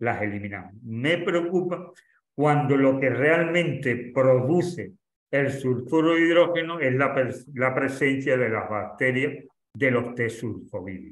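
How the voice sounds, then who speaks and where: Audible room echo surrounds a man speaking at a fairly slow pace. His medium pitch shows ordinary variation. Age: 70s. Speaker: doctor giving a course lecture. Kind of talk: lecture Q&A. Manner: halting.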